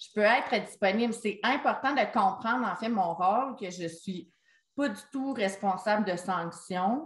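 A woman speaks at a fairly slow pace, somewhat breathy and fairly high in pitch. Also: ordinary pitch variation. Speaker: special education consultant. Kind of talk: online meeting discussion. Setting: video call.

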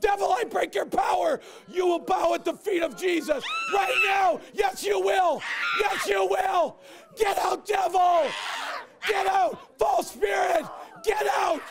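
A man shouts at an extremely high pitch, with ordinary pitch variation and very even loudness. He goes at a fairly slow pace over crowd noise in the background. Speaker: evangelist. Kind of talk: deliverance prayer, commanding spirits to leave. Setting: stage with audience. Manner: urgent, shouted exclamations. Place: hall.

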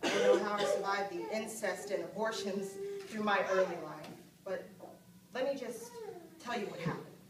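A woman at a fairly quick pace, with audible room echo and loud background noise. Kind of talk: dramatic monologue to an audience. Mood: earnest, serious. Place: stage. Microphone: camera far.

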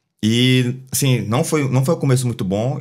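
In a quiet background, a man delivers his words at a fairly quick pace. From Bahia, Brazil (Feira de Santana); Bahia, Brazil. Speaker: poker player and former footballer; podcast guest. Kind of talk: casual chat. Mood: relaxed, advisory. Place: studio. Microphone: studio mic.

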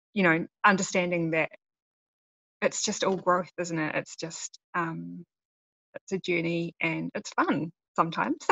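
This woman talks at a fairly slow pace with long, frequent pauses. Her fairly low pitch carries vocal fry, and her intonation is monotone and flat. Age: 40s. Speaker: lifestyle blogger. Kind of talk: casual interview. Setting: video call. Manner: gentle.

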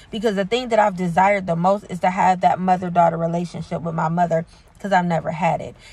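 Somewhat breathy, a woman speaks with a fairly low pitch and fairly even intonation, the sound dry with no echo. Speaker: faith coach and preacher. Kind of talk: preaching, prophetic exhortation. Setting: solo video recording. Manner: fervent, urgent, rhythmic repetition; hesitant, filler-heavy. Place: car. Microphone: phone near.

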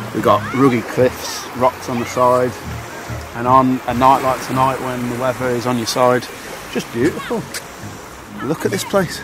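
A man speaks at a moderate pace with long, frequent pauses, his voice dry and free of echo over music in the background. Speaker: travel vlogger. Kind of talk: casual vlog chat. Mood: relaxed, slightly worried. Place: beach.

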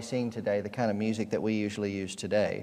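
The background stays quiet while a man talks. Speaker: pastor. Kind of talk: sermon. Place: church. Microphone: podium.

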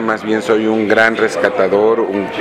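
A man speaks at a fairly slow pace as loud background noise fills the recording. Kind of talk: interview answer. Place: cafe.

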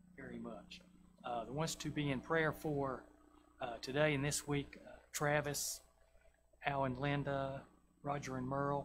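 Over noticeable background noise, a man with a Southern US accent speaks at a moderate pace and a fairly high pitch, somewhat breathy, his intonation flat and monotone. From US South. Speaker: church lay leader. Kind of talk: church announcements. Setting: church. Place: church. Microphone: podium.

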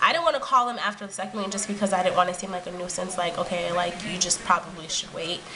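The speech runs at a very fast pace with hardly any pauses and ordinary pitch variation over noticeable background noise. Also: woman. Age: 20s. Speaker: video blogger; vlogger. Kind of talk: personal vlog. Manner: hesitant with frequent fillers. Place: home room. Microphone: webcam.

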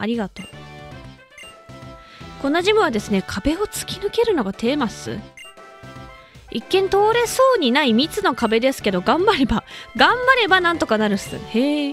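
A woman's high-pitched, upbeat, excited voice with very wide pitch swings, a moderate pace and long, frequent pauses, over music in the background. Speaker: voice actor. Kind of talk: casual video game let's play commentary.

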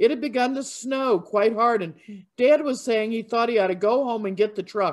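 Ordinary pitch movement in a plain read-aloud delivery.

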